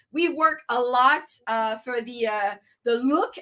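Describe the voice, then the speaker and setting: Very slowly, a woman with a French accent speaks in a bright, sharp tone, her pitch swinging very widely. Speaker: tea business owner. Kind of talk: casual interview.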